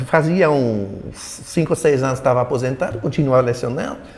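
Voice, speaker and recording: With noticeable noise in the background, a man talks at a medium pitch. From Belgium. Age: 70s. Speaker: retired political science professor. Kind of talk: interview. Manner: halting, many repetitions.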